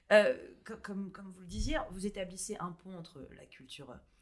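An ordinary speaking voice moves at a moderate pace. The intonation is lively. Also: woman. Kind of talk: interview.

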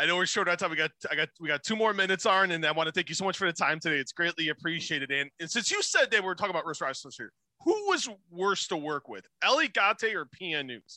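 Talking very fast with a Chicago accent, a man uses a high pitch with ordinary variation and a bright, sharp tone, recorded dry and close with no echo in a very clean recording with a silent background. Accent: Chicago-area American. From US Midwest, Chicago. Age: 40s. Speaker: podcast host. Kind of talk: casual interview chat. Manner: upbeat, chatty, informal.

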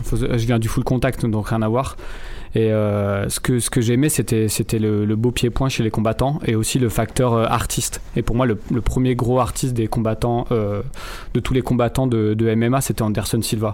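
Man at a moderate pace, monotone and flat in intonation, with very even loudness. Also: medium pitch for a man. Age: 30s. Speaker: MMA podcast co-host, former full-contact fighter. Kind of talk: casual debate.

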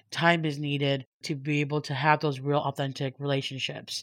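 A woman with an American accent speaks at a very deep, low pitch. She keeps a moderate pace over a quiet background. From US, Hmong American family. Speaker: early childhood equity fund manager. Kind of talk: panel interview.

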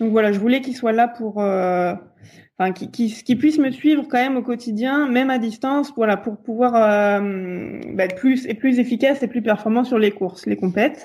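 A woman with an unremarkable speaking voice talks at a moderate pace, her fairly high pitch showing ordinary pitch variation. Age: 20s. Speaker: elite sprint kayaker. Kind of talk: interview.

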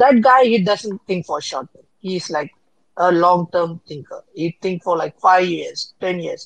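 A woman speaks fairly slowly at a medium pitch, with ordinary pitch variation and big swings in loudness, in an unremarkable speaking voice. The sound is dry and close, with no echo. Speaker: panelist. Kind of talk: casual chat.

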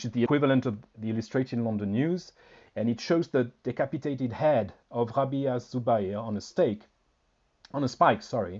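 With a French accent, a man speaks using ordinary pitch variation. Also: medium pitch for a man. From France. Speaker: historian. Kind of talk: interview. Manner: halting, repeats words.

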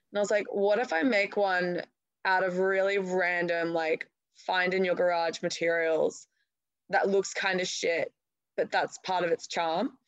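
Fairly slow and very even in loudness, a woman with an Australian accent speaks at a medium pitch with fairly even intonation in a dry, close sound with no echo. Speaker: artist. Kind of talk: interview. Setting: phone call.

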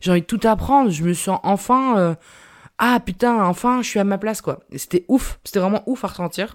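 A woman's animated tone with lively intonation at a moderate pace. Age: 20s. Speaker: podcaster and journalist. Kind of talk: casual solo monologue. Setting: home recording.

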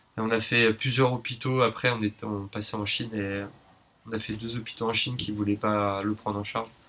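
Bright and sharp in tone, a man speaks at medium pitch. His intonation stays flat and monotone. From Paris, France. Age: 30s. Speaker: nurse and traveller. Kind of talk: casual interview.

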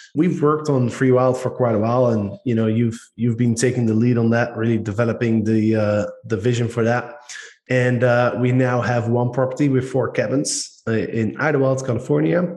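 With a Dutch accent, a man speaks in a dark, mellow tone at a moderate pace. His intonation is fairly even and his loudness very even. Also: medium pitch for a man. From Netherlands. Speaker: podcast host. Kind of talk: casual podcast chat.

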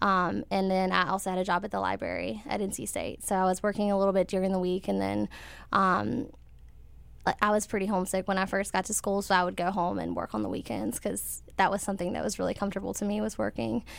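On a very clean recording with a silent background, a woman talks very fast with an American accent. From US South, rural North Carolina. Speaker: interview guest. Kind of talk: personal testimony. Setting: studio with live audience.

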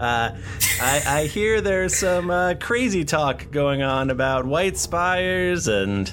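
A man's nasal, put-on character voice, fairly high in pitch, at a very slow pace with hardly any pauses, over clear background noise

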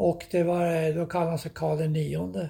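A man's somewhat breathy voice with a dark, mellow tone, fairly high in pitch, with ordinary pitch variation and a fairly slow pace. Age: 80s+. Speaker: podcast host's elderly father recounting family history. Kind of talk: casual interview. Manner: halting, repeating words.

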